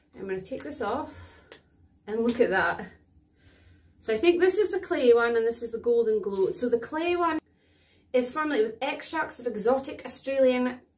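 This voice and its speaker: With a Scottish accent, the speaker goes at a moderate pace with long, frequent pauses and big swings in loudness. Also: woman, high pitch for a woman, lively intonation. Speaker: beauty vlogger. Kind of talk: product demo tutorial. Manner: casual chatty.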